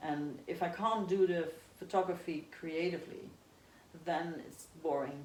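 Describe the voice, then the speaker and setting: The speaker talks at a fairly slow pace with fairly even intonation. It is an unremarkable speaking voice. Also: woman, fairly low pitch for a woman. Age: 50s. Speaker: amateur ultra-marathon runner and photographer. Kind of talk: interview answer.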